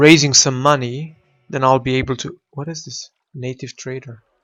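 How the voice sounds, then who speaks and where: At a moderate pace, a man with a non-native accent talks at a medium pitch. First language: not English. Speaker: video game streamer. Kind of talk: gameplay commentary. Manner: casual, hesitant with fillers.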